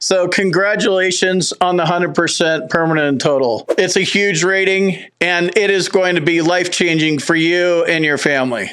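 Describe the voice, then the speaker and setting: A man with an American accent speaks at a moderate pace in a high voice. His intonation is fairly even, his loudness very even, with hardly any pauses and audible room echo. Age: 50s. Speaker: veteran benefits YouTuber. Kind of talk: casual explainer video.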